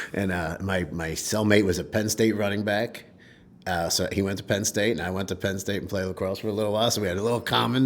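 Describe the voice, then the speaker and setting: Very fast male speech in a fairly low pitch with ordinary pitch variation and an American accent. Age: 50s. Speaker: recovering alcoholic sharing his story. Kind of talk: interview testimony. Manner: halting.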